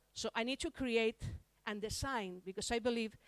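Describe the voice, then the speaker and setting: A woman with a Spanish accent speaks at a fairly quick pace in a fairly high pitch, with ordinary pitch variation. The sound is dry and close, with no echo. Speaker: larp designer and conference speaker. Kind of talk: conference talk. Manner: halting, with restarts.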